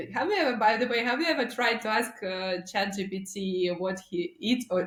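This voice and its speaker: This woman speaks with a Russian accent. Her pitch is fairly high. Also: hardly any pauses. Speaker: marketing agency founder. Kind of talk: podcast interview. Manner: halting.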